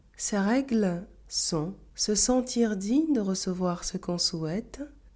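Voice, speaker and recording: Somewhat breathy and dark, mellow in tone, a woman at medium pitch talks at a very slow pace with lively intonation. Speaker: self-help coach. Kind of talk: scripted talk to camera.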